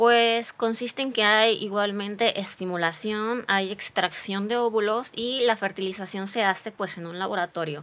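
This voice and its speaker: With fairly even intonation, a woman talks at a medium pitch and a fairly slow pace. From Morelos, Mexico. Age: 30s. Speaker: physician and social media creator; podcast guest. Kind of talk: testimony. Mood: earnest, reflective storytelling. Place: studio. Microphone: studio mic.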